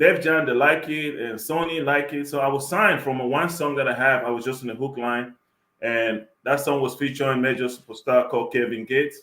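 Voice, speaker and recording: With an African accent, a man speaks at a moderate pace in a fairly high, bright, sharp voice. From Cameroon, then Germany. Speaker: rapper and record producer. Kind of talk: interview.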